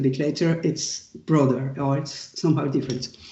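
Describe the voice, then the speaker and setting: In a French accent, the voice moves along at a moderate pace. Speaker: professor. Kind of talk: lecture. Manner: halting.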